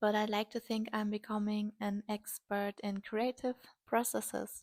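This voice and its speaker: A woman with a strong German accent speaks at a fairly high pitch and a fairly slow pace. Her intonation is monotone and flat, and the sound is dry and close with no echo. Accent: heavy German. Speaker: artist and video creator. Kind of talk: casual vlog talk while painting.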